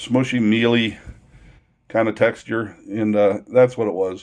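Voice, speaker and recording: The speaker is a man at a medium pitch. He talks at a moderate pace. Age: 60s. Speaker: vlogger. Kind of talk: casual storytelling. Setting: self-recorded to video camera. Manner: halting, with frequent repetitions.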